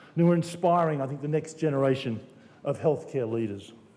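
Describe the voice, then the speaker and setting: A man's very fast speech in a room with audible echo. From Australia. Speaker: healthcare company executive. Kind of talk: speech at awards dinner. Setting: stage at evening venue with audience. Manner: hesitant, many fillers and repeats.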